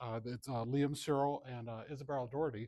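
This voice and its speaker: Mumbling at a moderate pace, a man with a medium pitch and a dark, mellow tone is heard on a very clean recording with a silent background. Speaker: computer science professor. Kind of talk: conference talk.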